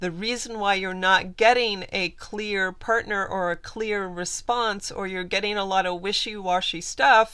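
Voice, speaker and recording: A woman's bright, sharp, medium-pitched voice at a fairly slow pace, with hardly any pauses and fairly even intonation, on a very clean recording with a silent background. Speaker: manifestation coach. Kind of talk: video tutorial.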